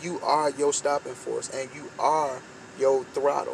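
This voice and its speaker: Light background noise sits under a man's fairly even intonation, and the sound is dry with no echo. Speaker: vlogger. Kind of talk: motivational talk. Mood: earnest, encouraging. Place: car. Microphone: phone near.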